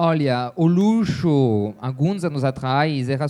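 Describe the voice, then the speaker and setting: A man's medium-pitched voice with a dark, mellow tone and lively intonation. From France (Champagne). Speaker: luxury travel business owner. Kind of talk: panel talk. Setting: stage with audience. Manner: hesitant with fillers.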